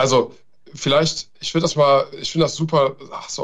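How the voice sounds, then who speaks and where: Vocal fry runs through a man's fairly high-pitched voice as he talks at a fairly quick pace. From Germany, Taunus (Hesse). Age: 40s. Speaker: ethical hacker, cybersecurity consultant. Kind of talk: podcast interview.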